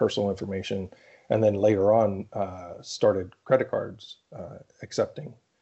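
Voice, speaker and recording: In an American accent, this is an unremarkable speaking voice with fairly even intonation. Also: man. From Central Pennsylvania. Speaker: cybersecurity and smart building consultant. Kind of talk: interview conversation.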